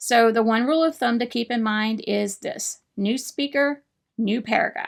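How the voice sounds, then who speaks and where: The recording is very clean with a silent background, carrying a woman's fairly high voice with ordinary pitch variation. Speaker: writing coach. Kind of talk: tutorial.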